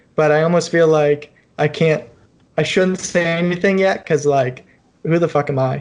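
In an ordinary speaking voice, a man with an American accent talks at a moderate pace. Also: fairly high pitch for a man, fairly even intonation, very even loudness. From Ohio (Cleveland). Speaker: engineer and amateur racer. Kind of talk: casual chat. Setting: video call.

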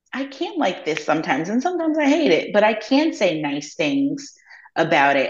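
A woman speaks at a moderate pace with vocal fry. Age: 40s. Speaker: sex educator. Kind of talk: casual chat.

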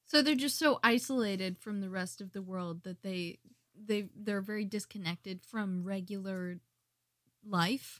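In a normal speaking voice, a woman talks at a fairly slow pace with a medium pitch, ordinary pitch variation and big swings in loudness. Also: very clean recording, silent background. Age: 20s. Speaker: host's wife, podcast guest. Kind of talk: casual chat.

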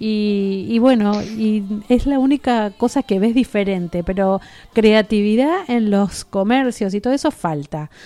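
Over a silent background in a very clean recording, a woman speaks at a fairly slow pace in a dark, mellow tone, her pitch fairly high with ordinary variation. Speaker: radio host. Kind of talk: radio chat show. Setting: radio studio. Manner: animated.

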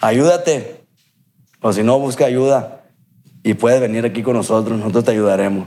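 A man's dark, mellow voice at medium pitch, with ordinary pitch variation, a moderate pace, and long, frequent pauses. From Culiacán, Sinaloa, Mexico. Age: 30s. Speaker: recovering addict, former amateur footballer. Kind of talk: testimony.

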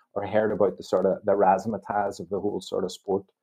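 A man with an Irish accent, fairly low in pitch, at a very fast pace. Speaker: sports league official. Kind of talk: interview.

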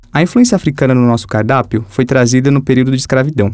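Talking at a fairly quick pace, a man has a normal speaking voice with a medium pitch and ordinary pitch variation. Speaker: podcast host, journalist and cook.

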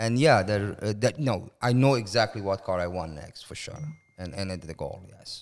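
Spoken at a moderate pace in an Iranian accent, the voice shows ordinary pitch variation and big swings in loudness. The recording is very clean, with a silent background. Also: man, fairly low pitch for a man. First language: Persian. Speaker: car collector. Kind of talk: casual interview chat. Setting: garage man cave.

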